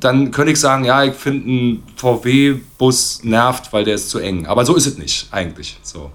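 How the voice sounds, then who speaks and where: A man with an ordinary speaking voice at medium pitch, ordinary pitch variation, and hardly any pauses. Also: moderate pace. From East Berlin. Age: 40s. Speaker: drummer. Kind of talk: casual chat.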